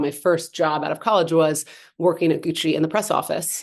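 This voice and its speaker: Speaking very fast with an energetic tone and a Californian accent, a woman with a fairly low pitch comes through against a quiet background. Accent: General American, Californian. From Los Angeles, US West Coast. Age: 40s. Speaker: entrepreneur, handbag and cannabis business founder. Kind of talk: podcast interview. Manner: fast, filler-heavy.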